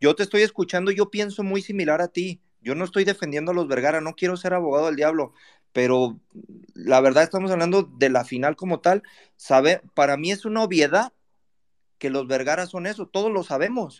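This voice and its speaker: Recorded dry and close with no echo, a man with a Mexican accent talks at a fairly quick pace in an animated tone, his high pitch moving with ordinary variation. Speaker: football fan panelist. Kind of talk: casual chat.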